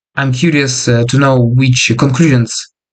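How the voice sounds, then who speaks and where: Somewhat breathy, a man speaks at a fairly slow pace with medium pitch and fairly even intonation. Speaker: freelance developer and online coach. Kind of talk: casual vlog monologue. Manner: hesitant with many fillers.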